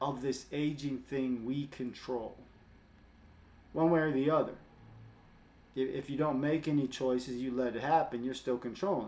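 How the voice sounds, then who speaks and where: A man's fairly high voice at a moderate pace, fairly even in intonation, with long, frequent pauses. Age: 60s. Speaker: fitness coach and vlogger. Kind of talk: casual monologue to camera.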